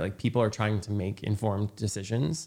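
A plain, everyday voice with an American accent, ordinary pitch variation, and a very clean recording against a silent background. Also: man. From rural Indiana. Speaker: podcast host. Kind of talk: casual interview.

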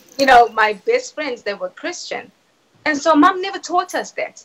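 A woman speaks with very wide pitch swings. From South Africa. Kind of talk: testimony.

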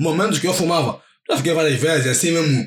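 This man has an ordinary speaking voice, pitched fairly high and delivered at a moderate pace. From Angola, Viana (Luanda). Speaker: paper model artist. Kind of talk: casual chat.

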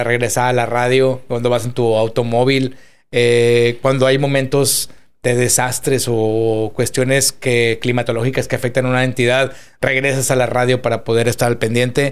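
With monotone, flat intonation, a man talks at a medium pitch and a moderate pace. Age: 40s. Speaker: podcast host. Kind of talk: interview.

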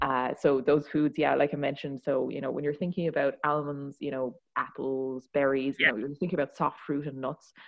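Speaking at a fairly quick pace, a woman with an Irish accent uses a very deep, low pitch and fairly even intonation. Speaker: tech startup founder and CEO. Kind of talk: interview. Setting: studio.

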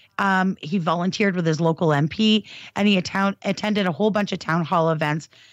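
A woman speaks at a fairly quick pace with a medium pitch and ordinary pitch variation. Hers is an unremarkable speaking voice. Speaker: advocacy group staffer. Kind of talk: casual chat. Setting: video call.

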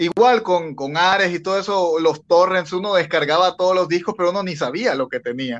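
Lively intonation from a man, high-pitched and at a moderate pace. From Bolivia. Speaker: rock band vocalist. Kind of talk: interview.

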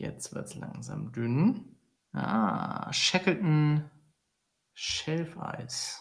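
A man's fairly high voice at a very slow pace, with very wide pitch swings and long, frequent pauses. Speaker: podcast co-host. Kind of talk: casual chat.

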